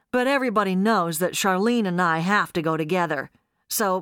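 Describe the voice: It's plain reading aloud. Nothing much stirs in the background.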